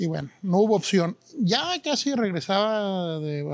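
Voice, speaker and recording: A man speaks with a high-pitched voice. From Guadalajara, Mexico. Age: 40s. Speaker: chef and restaurant owner. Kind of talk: interview. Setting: in a restaurant.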